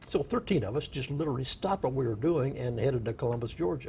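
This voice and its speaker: A man with a Midwestern US accent has a dark, mellow tone. Vocal fry runs through his speech. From rural Iowa. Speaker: war veteran. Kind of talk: oral history interview. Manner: halting.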